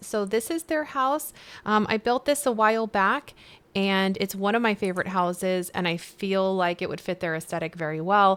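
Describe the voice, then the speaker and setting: At a moderate pace, a woman speaks in an unremarkable speaking voice with medium pitch and lively intonation. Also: very clean recording, silent background. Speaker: video game streamer. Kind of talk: gameplay let's play narration. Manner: upbeat, casual.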